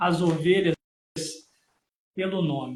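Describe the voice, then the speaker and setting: This man speaks at a high pitch with fairly even intonation. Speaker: preacher. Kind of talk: Bible teaching in a live stream. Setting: live stream.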